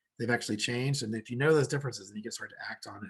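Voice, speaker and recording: A man's somewhat breathy voice moves with ordinary pitch variation. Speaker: genetics professor. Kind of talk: lecture. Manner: halting, many fillers and repeats.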